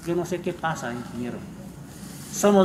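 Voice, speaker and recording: A man speaks very fast in a high voice. Background noise is noticeable. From Peru, San Martín region. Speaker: rice farmers' leader. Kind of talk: public meeting speech. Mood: earnest, complaining. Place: street. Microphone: camera far.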